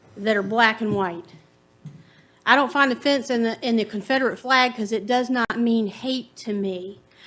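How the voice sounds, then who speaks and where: A woman with a Virginia accent, fairly high pitch and moderate pace. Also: ordinary pitch variation. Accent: Southern US (Virginia). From US South, Farmville, Virginia. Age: 50s. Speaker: resident giving public comment. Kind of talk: public comment at county board meeting.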